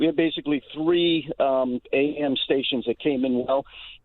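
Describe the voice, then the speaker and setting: A man with an American accent speaks in an unremarkable speaking voice, fairly high-pitched, with fairly even intonation at a moderate pace. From New York area. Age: 60s. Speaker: caller. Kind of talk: call-in comment.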